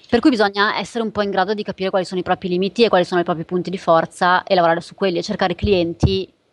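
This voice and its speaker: Very fast speech with fairly even intonation, dry and close with no echo. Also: woman. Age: 30s. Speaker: photographer. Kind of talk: casual chat.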